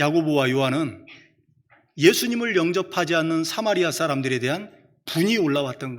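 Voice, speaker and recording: With audible room echo, a fairly high-pitched man talks at a fairly quick pace, his intonation lively and his loudness swinging widely. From Chungcheong, South Korea. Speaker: preacher. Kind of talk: sermon.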